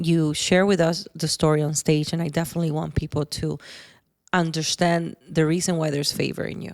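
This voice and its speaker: A woman's fairly low voice at a moderate pace. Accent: non-native. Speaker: podcast host. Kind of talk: interview.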